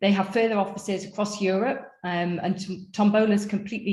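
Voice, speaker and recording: This is a woman speaking with a North East England accent. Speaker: panel moderator. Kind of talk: webinar panel introductions.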